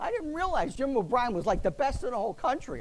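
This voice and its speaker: An American accent comes through. The speaker is a man. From Philadelphia, US. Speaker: retired TV meteorologist. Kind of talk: talk to a club audience.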